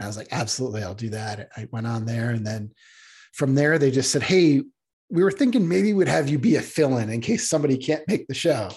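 The voice is somewhat breathy and races along at a very fast pace. Its intonation is lively. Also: man, medium pitch for a man. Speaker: comics writer. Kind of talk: casual interview chat. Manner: hesitant, filler words.

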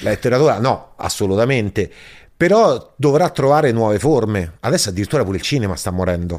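A man's pitch leaps up and down very widely as he talks at a very fast clip. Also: medium pitch for a man, very clean recording, silent background. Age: 40s. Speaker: stand-up comedian. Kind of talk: casual chat.

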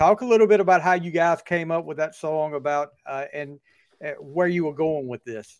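Speaking at a moderate pace, a man with a fairly high pitch shows ordinary pitch variation and big swings in loudness. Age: 40s. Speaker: podcast host. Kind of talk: interview. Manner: halting.

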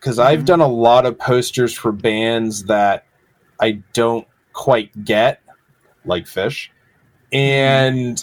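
With an American accent, the speaker goes at a very slow pace, leaving long, frequent pauses. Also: man, medium pitch for a man, ordinary pitch variation. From Massachusetts, rural. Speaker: graphic designer and illustrator. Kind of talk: casual interview. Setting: video call.

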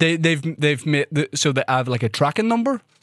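A man with a Northern Irish accent, on a very clean recording with a silent background and a dry, close sound with no echo. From Northern Ireland. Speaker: podcast host and comedian. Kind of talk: casual chat. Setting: studio.

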